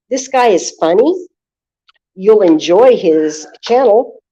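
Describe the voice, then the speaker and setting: Loud and very slow, a woman with an American accent speaks in a dark, mellow tone, her pitch swinging very widely. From northern US. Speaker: livestreaming vlogger. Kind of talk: livestream commentary.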